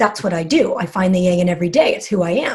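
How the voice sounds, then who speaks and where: At a fairly quick pace, a woman speaks at medium pitch in a somewhat breathy voice. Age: 40s. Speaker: magazine content director. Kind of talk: interview. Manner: animated.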